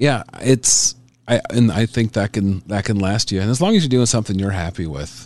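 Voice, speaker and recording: A man speaks at a moderate pace with a fairly low pitch and ordinary pitch variation, in an ordinary speaking voice. The sound is dry and close with no echo. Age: 40s. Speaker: stand-up comedian. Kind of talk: casual interview.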